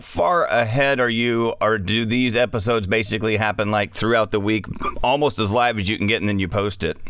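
Against noticeable background noise, a man speaks with an American accent. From West Texas. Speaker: podcast host. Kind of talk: casual interview.

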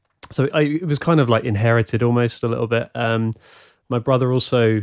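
Moderate-paced male speech, pitch varying in an ordinary way, very clean recording and silent background. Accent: southern English. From England, Leighton Buzzard (Bedfordshire). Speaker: musician and playback technician. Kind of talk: casual interview. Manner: halting, many fillers and repetitions.

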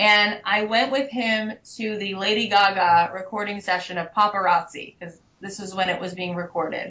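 Speaking at a moderate pace, a woman keeps her intonation fairly even while her loudness swings widely. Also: medium pitch for a woman. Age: 30s. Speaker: singer-songwriter. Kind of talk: interview. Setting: Skype call. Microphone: occasionally distorted audio.

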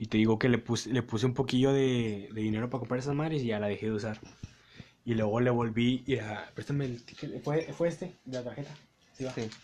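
A man with a Mexican accent talks at a very fast pace. His medium-pitched voice keeps a fairly even intonation. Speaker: podcast host. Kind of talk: casual chat.

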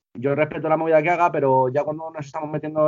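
This man talks at a very fast pace. His voice sits fairly high in pitch. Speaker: rapper and music producer. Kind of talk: casual interview chat.

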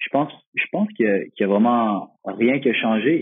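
This man speaks at a medium pitch with a Quebec accent and ordinary pitch variation. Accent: Québécois French. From Quebec, Magog (Eastern Townships). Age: 20s. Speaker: professional footballer. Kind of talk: interview. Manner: halting, many repetitions and fillers.

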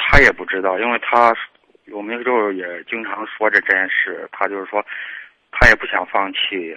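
Speaking at a moderate pace, a man uses fairly even intonation and a fairly low pitch. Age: 30s. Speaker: caller. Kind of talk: advice call. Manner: halting.

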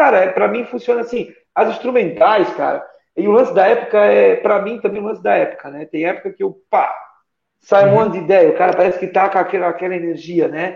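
At a very fast pace, a man speaks with a high pitch and ordinary pitch variation. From Santa Catarina, southern Brazil. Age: 20s. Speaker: guitarist and music teacher. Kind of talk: casual chat.

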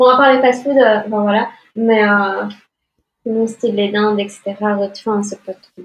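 Very slowly, a woman speaks at a fairly high pitch in a monotone, flat intonation. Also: big swings in loudness. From Belgium. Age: 20s. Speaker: green card lottery winner. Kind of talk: interview.

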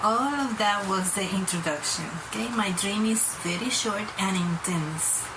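Speaking at a fairly slow pace with a non-native accent, the voice shows ordinary pitch variation over noticeable background noise. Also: woman, medium pitch for a woman. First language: not English. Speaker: viewer sharing a dream. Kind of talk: testimony. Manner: halting, reading from notes.

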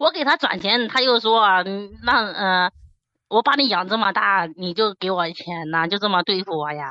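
A woman speaks at a medium pitch with a slight Henan accent. Her intonation is lively. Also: moderate pace. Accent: little Henan. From Xinyang, Henan, China. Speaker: call-in guest. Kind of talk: casual chat.

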